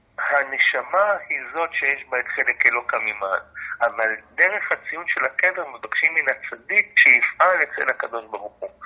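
Against noticeable background noise, a man speaks at a fairly slow pace with hardly any pauses. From Israel, Jaffa. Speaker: university lecturer and researcher. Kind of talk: interview.

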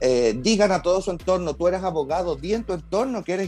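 Music plays in the background while a man talks very fast. His pitch is high, and he has a Chilean accent. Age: 40s. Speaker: actor and TV host. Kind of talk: casual chat.

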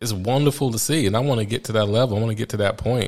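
Fairly quick pace with an American accent. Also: man. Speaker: podcast host. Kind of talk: podcast intro and monologue. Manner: casual, conversational.

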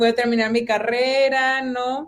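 A woman's voice, high in pitch. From Mexico, Monterrey (Apodaca). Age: 20s. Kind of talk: testimony.

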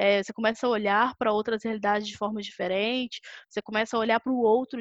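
A woman in an ordinary speaking voice, fairly high-pitched, with a dry, close sound, no echo and a quiet background. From Brazil, Belo Horizonte (Minas Gerais). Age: 20s. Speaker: sales director. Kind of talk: casual interview.

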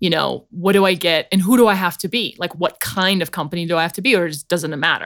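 In a very clean recording with a silent background, a woman talks very fast with hardly any pauses. Her pitch is fairly low, with ordinary pitch variation. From South Africa. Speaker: podcast host and startup founder. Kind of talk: interview. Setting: studio. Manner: animated.

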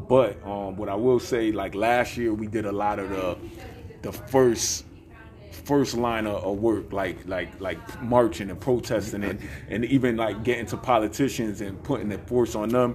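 A man with an American accent and fairly low pitch speaks at a moderate pace with fairly even intonation, amid audible room echo and noticeable background noise. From Bridgeport, Connecticut. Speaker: hip hop recording artist and activist. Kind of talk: interview.

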